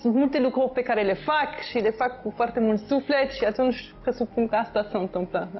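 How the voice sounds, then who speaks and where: With faint music in the background, a woman speaks at a fairly high pitch with ordinary pitch variation. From France. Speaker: mayor. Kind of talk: casual chat. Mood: relaxed, friendly. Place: home room. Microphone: lapel.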